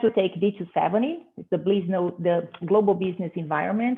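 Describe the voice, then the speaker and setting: A woman with a Portuguese accent at a moderate pace. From Brazil. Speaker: business professor. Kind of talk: conference presentation. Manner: hesitant, many fillers.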